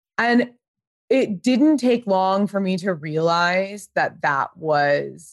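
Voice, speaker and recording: A woman with a Californian accent speaks at a very slow pace and a medium pitch, using lively intonation. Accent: General American, Californian. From US West Coast, Pasadena, California. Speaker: fashion creative director and brand founder. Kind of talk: casual interview chat.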